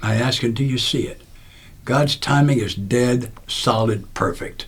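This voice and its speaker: Audible room echo surrounds a man speaking at a moderate pace. His medium-pitched voice is somewhat breathy, with ordinary pitch variation. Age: 80s+. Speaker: recovery speaker and author. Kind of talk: podcast interview storytelling. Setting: studio.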